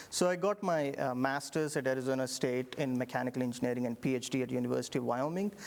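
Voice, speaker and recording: Here a man speaks with an Indian accent. His pitch is medium and his pace is very fast. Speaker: engineering professor. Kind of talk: interview. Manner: halting.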